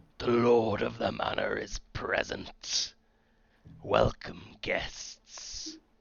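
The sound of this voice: A raspy, put-on character voice from a man, at a very slow pace.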